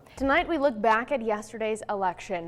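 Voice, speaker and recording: A woman speaks in a plain, everyday voice at a fairly quick pace. Her pitch is fairly high with ordinary pitch variation. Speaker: TV news reporter and anchor. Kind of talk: TV news report. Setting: field report.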